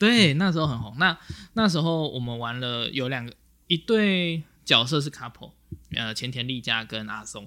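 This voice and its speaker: A man speaks at a medium pitch and moderate pace, with a bright, sharp tone. His intonation is lively and his loudness swings widely. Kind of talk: casual chat.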